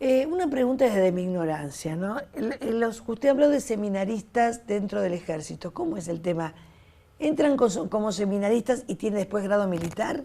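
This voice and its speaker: The voice has a dark, mellow tone, with lively intonation at a moderate pace. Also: woman, medium pitch for a woman. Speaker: TV host and teacher. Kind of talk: interview.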